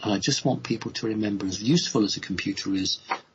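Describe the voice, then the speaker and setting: A somewhat breathy man with an English accent speaks with ordinary pitch variation. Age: 50s. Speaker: spiritual speaker. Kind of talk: radio interview. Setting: live radio show.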